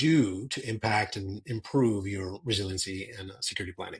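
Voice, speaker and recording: A somewhat breathy voice with an American accent and ordinary pitch variation comes through over a quiet background. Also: man. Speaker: cyber security strategist. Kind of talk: interview.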